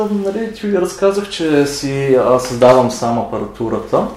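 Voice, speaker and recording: With noticeable background noise and audible room echo, a man talks at a fairly slow pace in a fairly high voice, his pitch swinging very widely. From Bulgaria. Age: 30s. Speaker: university chemistry lecturer. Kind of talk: lab demonstration; interview. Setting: university lab.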